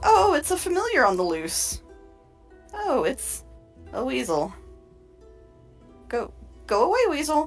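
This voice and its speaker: In a put-on character voice that is high and squeaky, the speaker goes at a moderate pace with long, frequent pauses while faint music plays in the background. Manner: dismissive, chittering.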